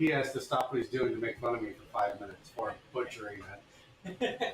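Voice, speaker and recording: Here a man speaks with an American accent. Noticeable background noise runs underneath. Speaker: blacksmith streamer. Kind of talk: casual chat.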